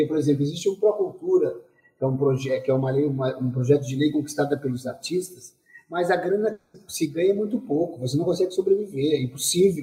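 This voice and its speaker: A man's plain, everyday voice, fairly high in pitch, with ordinary pitch variation at a fairly quick pace. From southern Brazil, Pelotas. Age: 40s. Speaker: dancer and choreographer. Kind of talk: interview.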